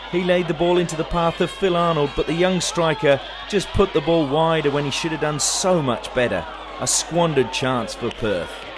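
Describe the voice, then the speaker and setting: A fairly high-pitched man at a moderate pace, with noticeable background noise. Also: ordinary pitch variation. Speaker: football commentator. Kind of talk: sports commentary, recapping match highlights as voiceover. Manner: brisk, fluent, play-by-play narration with lively, even pacing.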